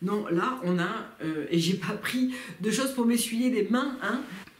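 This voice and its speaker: Against audible room echo and noticeable background noise, a woman talks at a very slow pace with lively intonation. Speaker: beauty youtuber. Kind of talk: product review vlog. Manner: hesitant, many fillers.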